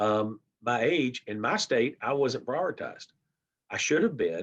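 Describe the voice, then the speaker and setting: This man talks at a fairly slow pace with lively intonation, a medium pitch and vocal fry. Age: 60s. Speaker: diabetes advocate, panelist. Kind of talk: panel discussion.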